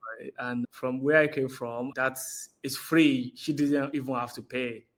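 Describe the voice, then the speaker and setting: A man with a Nigerian accent speaks at a medium pitch and a fairly slow pace. His intonation is monotone and flat, with big swings in loudness. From Nigeria, Osun State. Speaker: interviewee. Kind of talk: interview.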